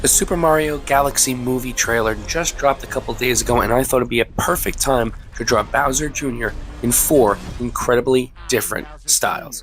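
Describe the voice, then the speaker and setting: A man speaks at a medium pitch and a fairly quick pace, with fairly even intonation. Music plays in the background. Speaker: art youtuber. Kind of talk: drawing tutorial commentary.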